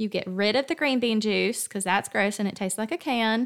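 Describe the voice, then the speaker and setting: A woman with a Southern US accent speaks at a fairly high pitch. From US South. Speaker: podcast host. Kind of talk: devotional talk. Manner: animated.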